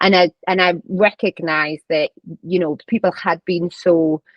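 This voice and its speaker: A woman speaks in a strong Northeast English accent. Her pitch is fairly low and her intonation fairly even. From northern England, County Durham. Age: 30s. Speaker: vice principal and charity runner. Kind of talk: podcast interview.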